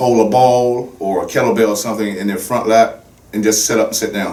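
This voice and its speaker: A man's fairly quick, fairly low-pitched speech in a monotone, flat intonation, over noticeable background noise. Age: 60s. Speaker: fitness trainer. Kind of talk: podcast interview.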